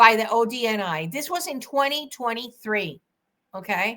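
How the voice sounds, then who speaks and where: A woman with a Spanish accent speaks in a high pitch with a bright, sharp tone and lively intonation. The recording is very clean, with a silent background. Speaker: attorney. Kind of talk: legal commentary monologue. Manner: animated; halting.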